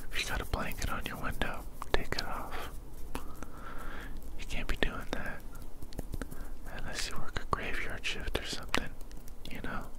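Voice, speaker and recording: Over loud background noise, a man talks at a moderate pace with long, frequent pauses, the sound dry with no echo. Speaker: ASMR creator. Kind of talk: ASMR caring friend roleplay. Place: home room. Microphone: studio mic.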